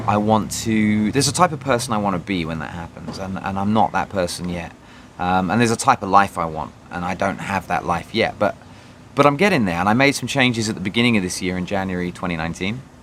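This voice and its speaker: There is noticeable background noise as a man speaks at a very fast pace in a fairly low pitch. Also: ordinary pitch variation. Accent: British. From Britain. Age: 30s. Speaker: vlogger. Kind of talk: personal video diary. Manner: halting, many fillers.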